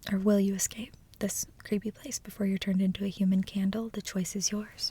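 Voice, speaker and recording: Soft-spoken and somewhat breathy, a woman talks at a fairly quick pace in a dark, mellow tone with monotone, flat intonation. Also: medium pitch for a woman. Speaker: ASMR creator. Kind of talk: reading book blurbs aloud, casual.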